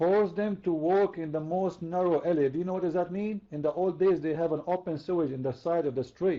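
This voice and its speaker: With an Arabic accent, a man speaks at a high pitch and a fairly quick pace. He leaves hardly any pauses, keeping his intonation fairly even. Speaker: religious debater. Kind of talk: heated debate. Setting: online voice chat room.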